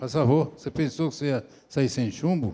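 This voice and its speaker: Here a man speaks at a moderate pace with a dark, mellow tone. His pitch is fairly high, with ordinary variation. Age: 70s. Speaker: meeting moderator. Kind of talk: moderating a public meeting. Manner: informal, jovial.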